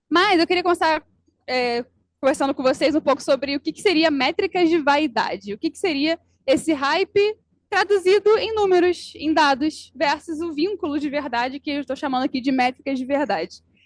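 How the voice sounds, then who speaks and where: The speaker has a Rio de Janeiro accent and a moderate pace, with lively intonation. Loudness swings widely, and the sound is dry and close with no echo. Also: woman, high pitch for a woman. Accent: Rio de Janeiro (carioca), hissing s. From Brazil, Rio de Janeiro. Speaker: advertising professional, conference speaker. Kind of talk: conference talk.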